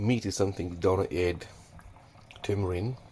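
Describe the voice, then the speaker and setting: A man talks with a very deep, low pitch, a somewhat breathy quality, and ordinary pitch variation. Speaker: home cook. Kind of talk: cooking tutorial. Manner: casual.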